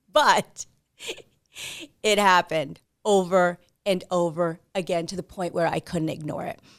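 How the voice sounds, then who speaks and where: A woman with a New Jersey accent, fairly low in pitch and fairly slow, with long, frequent pauses and big swings in loudness, in a dry, close sound with no echo. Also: ordinary pitch variation, very clean recording, silent background. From New Jersey, US. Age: 40s. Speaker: podcast host. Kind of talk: monologue.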